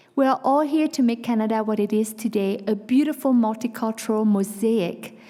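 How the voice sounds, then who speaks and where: Over noticeable background noise, a woman speaks at a moderate pace and a fairly high pitch with ordinary pitch variation. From France. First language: Vietnamese or French. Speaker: nonprofit executive. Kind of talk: public speech. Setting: stage with audience.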